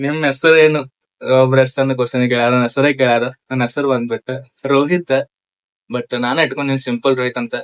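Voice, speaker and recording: Dry and close with no echo, a man's medium-pitched voice keeps a fairly even intonation. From Chikkodi, Belagavi district, north Karnataka. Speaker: social media content creator. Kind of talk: casual Q&A with viewers.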